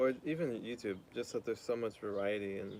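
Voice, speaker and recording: A man speaks with an American accent. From US. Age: 20s. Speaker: streamer. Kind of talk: casual chat. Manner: fast.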